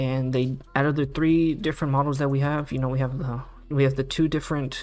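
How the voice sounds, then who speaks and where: The delivery comes at a fairly quick pace in a monotone, flat intonation. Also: man, fairly high pitch for a man. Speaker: stock market streamer. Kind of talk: live stream commentary. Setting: live stream with background music. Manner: fast; casual, filler-heavy.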